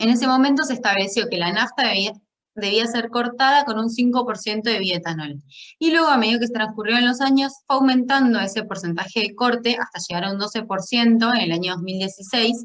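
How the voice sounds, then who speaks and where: Fairly quick pace and ordinary pitch variation in an ordinary speaking voice. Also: woman, fairly high pitch for a woman. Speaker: food scientist presenting doctoral thesis. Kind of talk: lecture.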